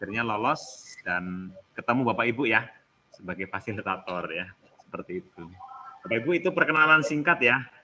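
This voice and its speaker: A man with a Javanese accent talks at a fairly quick pace in a medium-pitched voice, with very wide pitch swings and big swings in loudness. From Central Java (Karanganyar, Solo). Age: 40s. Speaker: teacher trainer, school supervisor. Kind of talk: online training session. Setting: video call. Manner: informal, relaxed.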